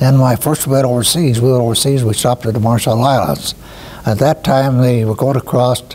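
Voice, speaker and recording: With an American accent, a man at medium pitch speaks at a fairly quick pace, his intonation fairly even and his loudness very even, over noticeable background noise. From Iowa, US Midwest. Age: 80s+. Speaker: war veteran. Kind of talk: interview testimony. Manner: halting, with many fillers.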